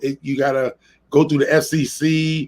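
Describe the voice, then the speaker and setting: This is a man speaking. His pitch is fairly high. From New York City, the Bronx. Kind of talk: casual live-stream chat. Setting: live stream.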